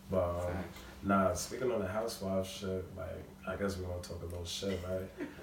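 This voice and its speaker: Against noticeable background noise, a man with an American accent speaks fairly quickly in a very deep, low voice with monotone, flat intonation. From Long Island, New York. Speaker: guest, musician and friend of host. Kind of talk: casual chat among friends.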